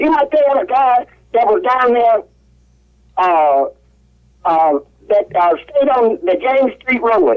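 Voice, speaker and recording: In a Mississippi accent, a woman with a high pitch and very wide pitch swings talks at a very slow pace with long, frequent pauses. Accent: US Southern, Mississippi. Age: 80s+. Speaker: caller. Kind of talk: radio call-in talk. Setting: phone call.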